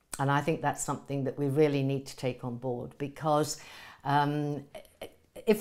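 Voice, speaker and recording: In a very clean recording with a silent background, a woman speaks at a moderate pace in a very deep, low pitch. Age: 70s. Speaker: writer, broadcaster and psychotherapist. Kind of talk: video podcast monologue. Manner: conversational, with fillers.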